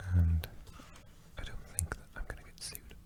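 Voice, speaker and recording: A man whispers quickly with a Welsh accent. Noticeable background noise runs behind him. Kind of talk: ASMR facts ramble. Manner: soft-spoken.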